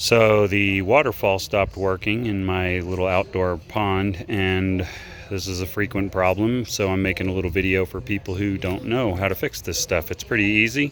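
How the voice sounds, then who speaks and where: Over noticeable background noise, a man with an American accent speaks in a very deep, low voice at a moderate pace, with fairly even intonation and hardly any pauses. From Texas. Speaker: DIY tutorial maker. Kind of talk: tutorial. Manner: casual, halting with fillers.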